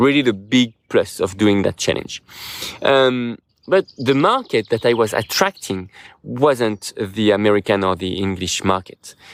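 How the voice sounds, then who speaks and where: Speaking with a non-native accent at a fairly slow pace, the voice has a dry, close sound with no echo. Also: man, medium pitch for a man, ordinary pitch variation. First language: French. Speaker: YouTuber and podcaster. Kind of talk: casual monologue. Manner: halting, many fillers; searches for words.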